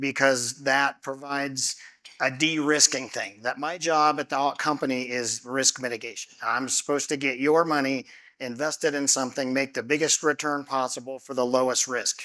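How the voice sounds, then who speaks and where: On a very clean recording with a silent background, a man speaks loud at a medium pitch and moderate pace, his tone bright and sharp and his intonation monotone and flat. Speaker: company executive presenting to investors. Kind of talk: investor seminar presentation. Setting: stage with audience, on a microphone.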